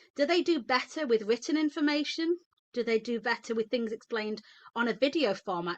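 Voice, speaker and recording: A woman with a British accent speaks at a fairly quick pace, high-pitched and with lively intonation. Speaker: midwife. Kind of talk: webinar talk. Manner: fast; animated.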